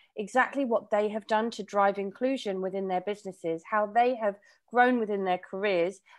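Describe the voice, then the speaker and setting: Against a quiet background, a woman with a British accent speaks with ordinary pitch variation. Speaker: recruitment executive. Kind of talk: virtual panel discussion. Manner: passionate.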